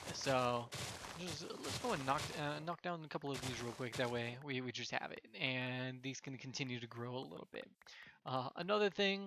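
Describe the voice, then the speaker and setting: Mumbling at a moderate pace, a man sounds bright and sharp, with lively intonation. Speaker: gaming channel host. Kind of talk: gameplay commentary. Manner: halting, many fillers.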